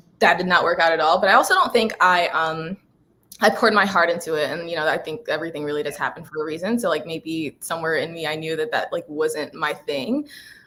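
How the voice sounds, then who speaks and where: Very fast speech from a woman, fairly low in pitch, with ordinary pitch variation. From Guyana. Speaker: PR agency founder. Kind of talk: interview. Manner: casual, many fillers.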